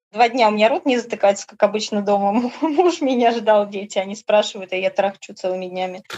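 A woman is speaking. Her pace is fairly quick, with hardly any pauses. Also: fairly high pitch for a woman, ordinary pitch variation. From Orenburg, Russia. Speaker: tour participant, former factory worker. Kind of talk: casual interview chat. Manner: animated, emotional.

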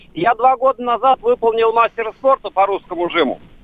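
Lively intonation at a moderate pace. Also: man. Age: 60s. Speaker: caller, amateur bench press athlete. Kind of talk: call-in question.

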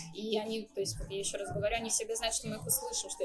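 Noticeable background noise sits behind a woman's voice. She speaks at a fairly high pitch with ordinary variation. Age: 20s. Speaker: coffee shop manager. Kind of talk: interview.

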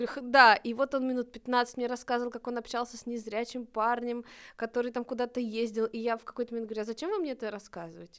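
Fairly even intonation at a fairly quick pace. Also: woman. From northern Russia, Novodvinsk. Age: 30s. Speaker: volunteer program coordinator, blind. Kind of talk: casual chat.

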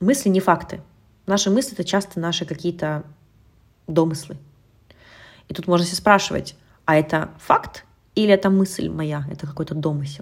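A woman speaks at a fairly low pitch and a moderate pace, somewhat breathy, with ordinary pitch variation and long, frequent pauses. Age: 30s. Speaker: nutritionist and eating behavior coach, podcast host. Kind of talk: solo podcast monologue, advice talk.

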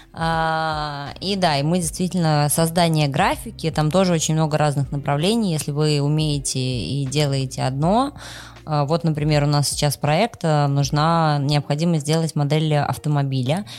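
The speech moves at a fairly slow pace, with fairly even intonation and very even loudness. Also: woman, very deep, low pitch for a woman. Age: 30s. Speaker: podcast co-host. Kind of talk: casual chat.

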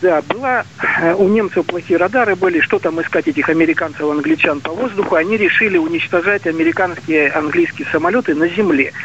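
Over noticeable background noise, a man with a high pitch talks at a fairly quick pace, with ordinary pitch variation and very even loudness. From Siberia. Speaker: caller. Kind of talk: call-in question. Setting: phone call.

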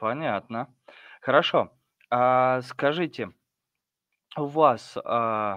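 Dry and close with no echo, the recording captures a man at a medium pitch with ordinary pitch variation. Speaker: host of online discussion. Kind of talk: casual group discussion. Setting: video call.

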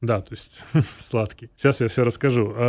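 A somewhat breathy man's voice with a dark, mellow tone, medium pitch, ordinary pitch variation and moderate pace. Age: 30s. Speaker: coffee roasting company director. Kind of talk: interview.

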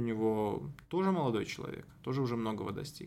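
Here a man uses an ordinary speaking voice at medium pitch and a fairly quick pace. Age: 20s. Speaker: political journalist. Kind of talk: interview.

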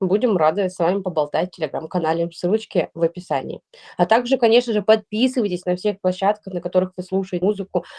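A woman speaks at a very fast pace with a medium pitch, ordinary pitch variation and a dark, mellow tone, the sound dry and close with no echo. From Russia, St Petersburg. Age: 30s. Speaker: podcast co-host, blogger. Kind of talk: casual chat.

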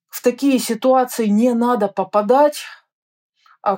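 A woman talks at a fairly slow pace with ordinary pitch variation. She has an ordinary speaking voice. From Russia. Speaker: orientalist and travel author. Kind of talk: interview. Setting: remote call.

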